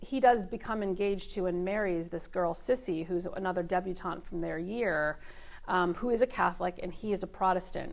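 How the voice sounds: This natural reading voice carries ordinary pitch variation throughout.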